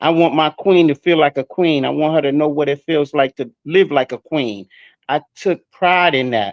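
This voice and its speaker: A man with a fairly high pitch speaks in a normal speaking voice, with ordinary pitch variation at a moderate pace. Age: 60s. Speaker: panelist. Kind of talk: live stream discussion.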